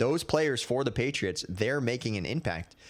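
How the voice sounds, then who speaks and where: A man with a medium pitch and vocal fry speaks at a fairly slow pace. His pitch swings very widely on a very clean recording with a silent background. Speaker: podcast host. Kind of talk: casual sports commentary. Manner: stutters, halting.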